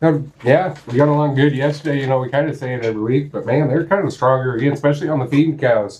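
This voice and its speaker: A man speaks at a very fast pace with hardly any pauses, his voice somewhat breathy. His pitch sits fairly high for a man, and his intonation stays fairly even. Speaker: auction cattle market reporter. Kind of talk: market report.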